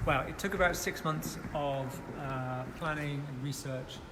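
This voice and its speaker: A Bristol accent with fairly even intonation, plus audible room echo and noticeable background noise. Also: man. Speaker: artist. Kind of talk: interview. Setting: live at a concert hall.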